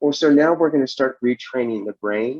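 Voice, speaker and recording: A man talks at a moderate pace in a fairly high voice with ordinary pitch variation. The sound is dry and close, with no echo. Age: 60s. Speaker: twelve-step program speaker. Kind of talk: testimony. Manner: halting.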